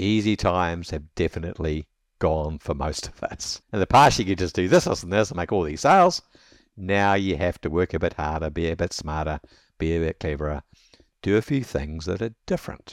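With a New Zealand accent, a man talks at a fairly quick pace in a very deep, low pitch with ordinary pitch variation, the sound dry and close with no echo and the recording very clean over a silent background. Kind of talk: interview.

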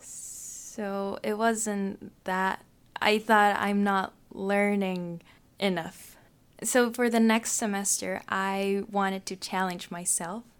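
Very clean recording with a silent background, a woman at medium pitch, monotone and flat, at a very slow pace. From Japan. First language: Japanese. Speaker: international exchange student. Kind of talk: casual interview. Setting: studio.

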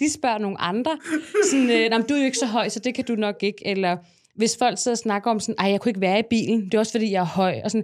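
At a very fast pace, a woman speaks in a fairly high pitch with ordinary pitch variation. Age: 30s. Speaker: content creator. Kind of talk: casual chat.

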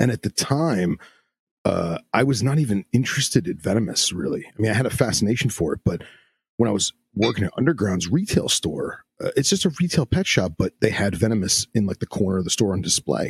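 A man's voice comes across somewhat breathy, with very wide pitch swings. The sound is dry and close, with no echo. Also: fairly low pitch for a man. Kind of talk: casual chat. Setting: video call. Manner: rambling, long-winded.

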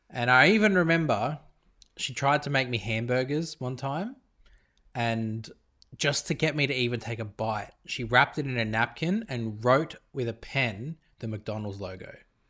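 Heard on a very clean recording with a silent background, a speaker with an Australian accent talks at a moderate pace in a bright, sharp tone with ordinary pitch variation. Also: man, medium pitch for a man. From Australia, Italian family. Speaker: podcast co-host, father. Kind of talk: casual chat.

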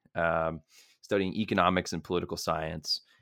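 A male speaker with an American accent talks at a moderate pace, captured on a very clean recording against a silent background. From Merrimack, Massachusetts. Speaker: podcast co-host, university student. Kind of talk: casual political discussion.

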